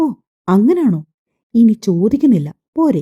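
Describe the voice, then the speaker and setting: A woman's put-on character voice, fairly high in pitch, with very wide pitch swings and a fairly slow pace. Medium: read story.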